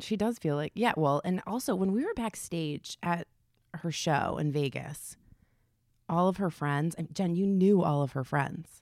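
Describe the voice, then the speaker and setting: This woman has a fairly low pitch and ordinary pitch variation, speaking at a moderate pace. It is an unremarkable speaking voice on a very clean recording with a silent background. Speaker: podcast guest, host's sister. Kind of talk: casual chat. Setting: hotel room.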